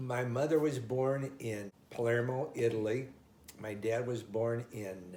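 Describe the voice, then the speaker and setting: The voice has a dark, mellow tone and sounds somewhat breathy. It carries an American accent with fairly even intonation. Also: man. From US Midwest, Omaha, Nebraska. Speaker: oral history interviewee. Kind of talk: life story interview. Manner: halting.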